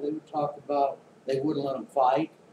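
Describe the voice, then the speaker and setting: Over noticeable background noise, a man in an American accent speaks at a fairly quick pace. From Oklahoma, then San Francisco Bay Area. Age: 60s. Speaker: YouTuber. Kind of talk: monologue. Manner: casual, with filler words.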